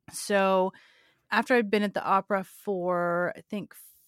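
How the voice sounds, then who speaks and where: A woman with an American accent speaks at a medium pitch with fairly even intonation. The sound is dry and close with no echo, in a very clean recording with a silent background. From California. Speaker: musician and music business coach. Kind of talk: interview conversation. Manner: hesitant, with frequent restarts.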